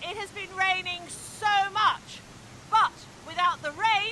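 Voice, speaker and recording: Shouting in a raised, projected voice, someone speaks at a fairly slow pace over noticeable background noise. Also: woman. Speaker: model and vlogger. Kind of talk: vlog narration. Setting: outdoors by a waterfall. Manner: loud, shouting.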